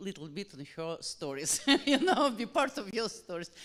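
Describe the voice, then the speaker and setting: A woman with a Russian accent at a moderate pace, with very wide pitch swings. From Russia, Saint Petersburg. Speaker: publisher. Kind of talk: audience question at book event. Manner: halting. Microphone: held too far from mouth.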